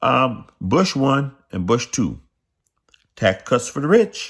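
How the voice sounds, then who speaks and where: The very clean recording, with a silent background, captures a man speaking at a fairly high pitch. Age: 60s. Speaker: political commentator vlogger. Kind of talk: political rant monologue. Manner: animated.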